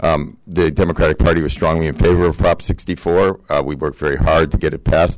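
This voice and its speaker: This man has a very deep, low pitch. Vocal fry runs through his voice. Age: 60s. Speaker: public commenter, local party official. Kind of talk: public comment at city council. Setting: city council meeting. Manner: halting, many fillers.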